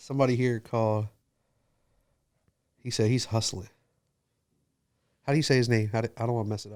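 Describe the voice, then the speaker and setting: This man talks at a very fast pace in a monotone, flat intonation, broken by long, frequent pauses. The recording is very clean, with a silent background. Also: medium pitch for a man. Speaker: tattoo artist and podcast host. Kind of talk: casual chat. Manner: laid back.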